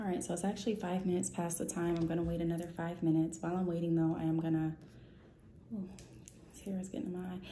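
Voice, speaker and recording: This woman's voice sits fairly low. Room echo is audible. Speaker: vlogger and entrepreneur. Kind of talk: casual vlog talk to camera. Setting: at home. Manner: soft-spoken, talking low.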